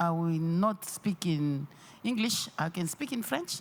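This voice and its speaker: Her voice fairly low for a woman, she speaks at a very slow pace. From DR Congo. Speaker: audience member asking a question. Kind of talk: press conference question. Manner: halting.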